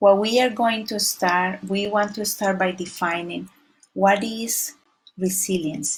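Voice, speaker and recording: Somewhat breathy and fairly even in intonation, a woman speaks at a medium pitch and a fairly slow pace with a Spanish accent. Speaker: community resilience trainer. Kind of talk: presentation.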